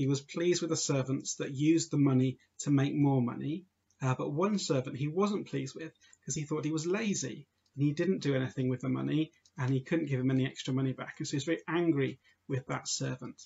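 Somewhat breathy, a man talks at a very fast pace. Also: ordinary pitch variation. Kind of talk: children's talk or homily. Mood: warm, friendly. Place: home room. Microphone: webcam.

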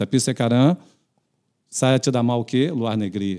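A man talks at a moderate pace with a Portuguese accent over a quiet background. His tone is dark and mellow, with ordinary pitch variation. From Brazil. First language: Portuguese (speaking Indonesian). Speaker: retired footballer and coach; guest. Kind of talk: casual interview. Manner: halting. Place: studio. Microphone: studio mic.

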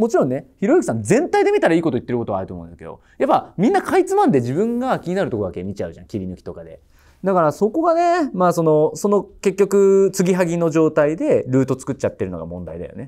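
A man talks at a very fast pace with hardly any pauses. His loudness swings widely against a quiet background. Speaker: tutoring school owner on judging panel. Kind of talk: panel critique. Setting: studio panel. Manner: casual, reflective. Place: studio. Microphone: lapel.

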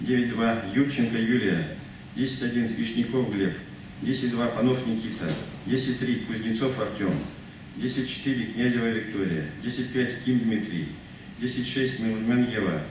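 The voice moves very slowly with long, frequent pauses and ordinary pitch variation. Light background noise and audible room echo are present. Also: man. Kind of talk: announcement at ceremony. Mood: formal, solemn. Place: hall.

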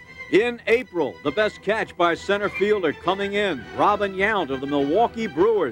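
Clear music plays behind a man speaking at a fairly slow pace. The sound is dry, with no echo. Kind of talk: sports highlight commentary.

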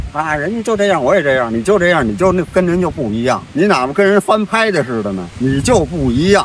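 Very fast and with very wide pitch swings, a man speaks in a dry sound with no echo over light background noise. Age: 70s. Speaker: retired martial arts practitioner. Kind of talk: street interview answer. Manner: casual, talkative. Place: garden. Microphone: phone near.

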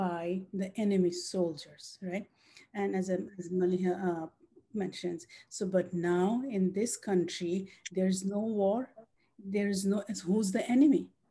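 Somewhat breathy, a woman speaks with a dark, mellow tone and fairly even intonation. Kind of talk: panel discussion remarks. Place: home room. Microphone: video call.

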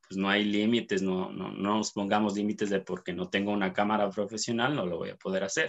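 The background is quiet as a man speaks. His pitch is fairly low and his pace moderate. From Ecuador, Cuenca. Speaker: dentist and photographer. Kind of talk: interview. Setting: video call. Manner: halting, many fillers and repetitions. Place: home room. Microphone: video call.

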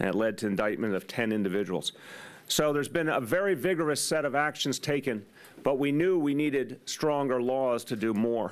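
A man's pitch varies in an ordinary way while he talks at a moderate pace. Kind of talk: press conference speech. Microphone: podium.

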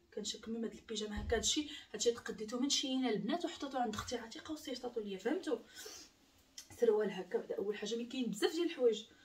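A woman talks at a very fast pace with lively intonation. Light background noise can be heard. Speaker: home vlogger. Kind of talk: casual vlog chat. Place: home room. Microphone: camera far.

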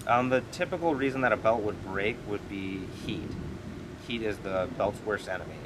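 Over noticeable background noise, a man talks with a fairly low pitch and ordinary pitch variation. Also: moderate pace. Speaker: powersports clutch technician. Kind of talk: casual interview. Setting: outdoors at a racing facility. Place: open country.

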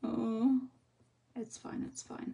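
There is vocal fry in this woman's voice as she talks at a fairly slow pace. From England. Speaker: colouring tutorial creator. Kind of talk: tutorial. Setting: live stream. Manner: chatty. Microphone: phone near.

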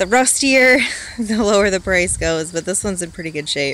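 A woman talks at a moderate pace with lively intonation. Light background noise sits behind her. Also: dry sound with no echo. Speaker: reseller vlogger. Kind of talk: casual vlog chat. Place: home room. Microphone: phone near.

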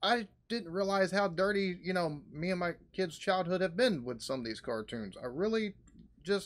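Here a man talks at a moderate pace. He has lively intonation. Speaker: reaction video host. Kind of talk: casual reaction commentary. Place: home room. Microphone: webcam.

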